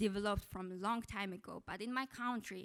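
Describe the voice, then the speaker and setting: A woman with a Mongolian accent talks at a moderate pace and medium pitch with fairly even intonation, in a dry, close sound with no echo. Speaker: PhD student. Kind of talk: conference presentation. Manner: halting.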